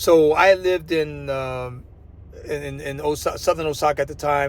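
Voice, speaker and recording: Amid noticeable background noise, a man with an American accent talks at a moderate pace, his fairly high pitch held in fairly even intonation. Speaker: vlogger and former English teacher. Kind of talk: casual vlog monologue. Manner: halting, many repetitions and fillers.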